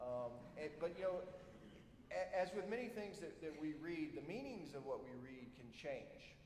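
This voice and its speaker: A high-pitched man with a South Georgia accent, lively intonation and a moderate pace, in audible room echo. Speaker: army officer, military science professor. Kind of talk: ceremony speech. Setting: auditorium stage with audience. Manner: halting, many fillers.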